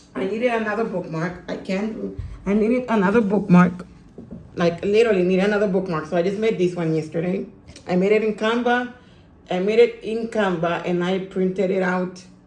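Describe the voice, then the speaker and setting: Audible room echo and noticeable background noise surround a woman who talks at a fairly quick pace and a medium pitch with fairly even intonation. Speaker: book vlogger. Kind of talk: casual vlog. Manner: repetitive; fast.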